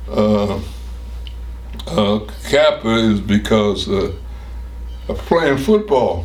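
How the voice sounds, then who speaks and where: Over noticeable background noise and audible room echo, a man with an American accent speaks at a very slow pace, with long, frequent pauses. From Cincinnati, Ohio, US Midwest. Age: 90s. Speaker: war veteran. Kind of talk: oral history interview. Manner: halting.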